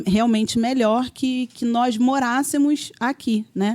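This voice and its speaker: A woman speaks in a fairly high pitch with fairly even intonation. Her tone is dark and mellow. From Brazil, Rio de Janeiro suburbs (Vista Alegre). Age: 40s. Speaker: guest sharing testimony, homemaker. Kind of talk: testimony.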